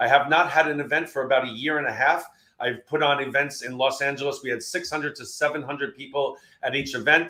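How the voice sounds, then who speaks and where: A man with a New York accent talks very fast in a fairly high, bright, sharp voice. His delivery is flat and monotone. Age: 60s. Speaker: keynote speaker. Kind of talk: webinar presentation.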